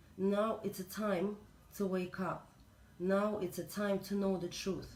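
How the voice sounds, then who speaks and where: A woman speaks in a Russian accent at a medium pitch. Her pace is fairly slow. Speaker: spiritual reader. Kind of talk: spiritual talk. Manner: halting.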